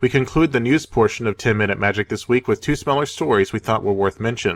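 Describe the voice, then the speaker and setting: A man's plain, everyday voice at medium pitch with an American accent and ordinary pitch variation, the sound dry and close with no echo and the recording very clean against a silent background. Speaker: magic card game news show co-host. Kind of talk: scripted news reading.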